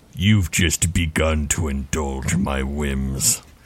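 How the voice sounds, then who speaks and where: Using a put-on character voice, a man speaks at a very deep, low pitch and a very slow pace. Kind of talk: ominous in-character speech. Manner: grim, commanding.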